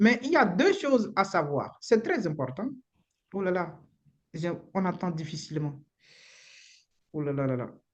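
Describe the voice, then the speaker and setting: In a Beninese accent, the speaker moves at a fairly slow pace with long, frequent pauses. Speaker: immigration lawyer. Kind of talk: live webinar talk. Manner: halting, repeats words.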